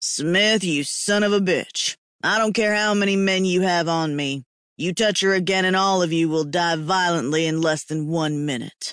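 Against a quiet background, a man puts on a character voice pitched high, speaking at a moderate pace. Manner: threatening, through clenched teeth.

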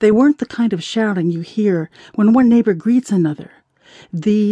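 The pitch shows ordinary variation in a natural reading voice. Little noise sits behind it.

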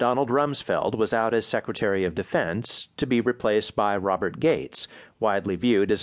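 Here a man speaks in an unremarkable speaking voice at a medium pitch and a fairly quick pace. His intonation is lively, and the background is quiet. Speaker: audiobook narrator. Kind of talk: formal news-magazine reading, polished and measured, with dry irony on political lines. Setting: studio. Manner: formal.

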